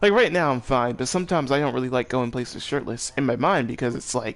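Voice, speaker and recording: A man is speaking. He goes at a very fast pace. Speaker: gaming streamer. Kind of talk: casual chat.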